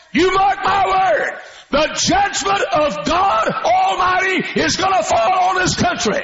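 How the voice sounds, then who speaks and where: Shouting at a very slow pace with very even loudness, a man hits an extremely high pitch, his intonation lively, while crowd noise sits in the background and the room echo is audible. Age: old. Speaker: pastor. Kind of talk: sermon. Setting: church. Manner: animated.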